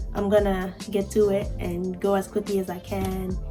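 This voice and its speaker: Someone speaks quietly at a moderate pace with music in the background. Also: woman. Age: 20s. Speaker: new YouTuber. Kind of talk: casual talk to camera. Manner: quiet, low voice.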